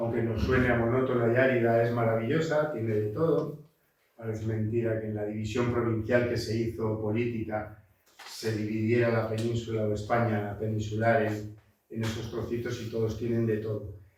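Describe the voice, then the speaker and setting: Amid audible room echo, a man talks at a medium pitch and moderate pace, his intonation monotone and flat. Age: 60s. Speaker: botanist and environmental consultant. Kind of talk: lecture. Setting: seminar talk with audience. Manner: halting, many fillers.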